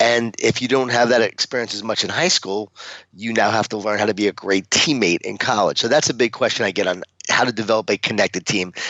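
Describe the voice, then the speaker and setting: A man with an American accent at a medium pitch and a very fast pace, with ordinary pitch variation. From Long Island, New York. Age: 40s. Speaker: author and motivational speaker. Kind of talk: podcast interview.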